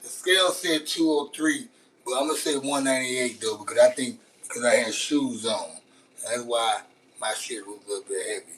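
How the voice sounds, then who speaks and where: A man with a Louisiana accent at a moderate pace, over noticeable background noise. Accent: Southern US, Louisiana. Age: 40s. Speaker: live streamer. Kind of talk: casual live stream chat while cooking. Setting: outdoors grilling, live stream. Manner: casual, slangy, repetitive.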